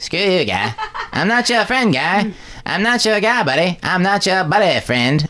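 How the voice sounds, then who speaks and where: Using a put-on character voice, a man speaks high-pitched at a moderate pace, with light background noise. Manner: crude, grating.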